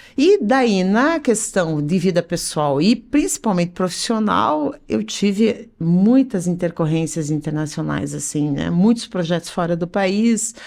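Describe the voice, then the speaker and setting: Fairly slow yet with hardly any pauses, a woman's fairly low-pitched, normal speaking voice with lively intonation. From Curitiba, Paraná, southern Brazil. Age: 50s. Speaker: business association president, entrepreneur. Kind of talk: podcast interview.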